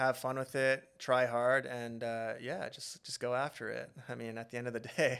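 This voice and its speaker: In a Western Canadian accent, a man talks at a moderate pace with a medium pitch. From Alberta, Canada (Beaumont, near Edmonton). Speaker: reality TV contestant and social media influencer. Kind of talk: casual interview.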